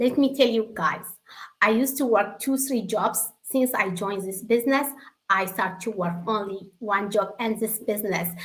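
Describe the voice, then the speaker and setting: A woman with an Eritrean accent, fairly high pitch, ordinary pitch variation and a moderate pace. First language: Tigrinya. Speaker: secretary and online business member. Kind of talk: testimony. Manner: emotional.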